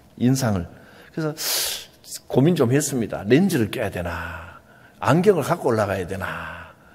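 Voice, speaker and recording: A man speaks at a moderate pace and medium pitch, his voice somewhat breathy, with very wide swings in pitch. He leaves long, frequent pauses, and the room echo is audible. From Gyeongsang Province, South Korea. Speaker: pastor. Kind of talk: sermon.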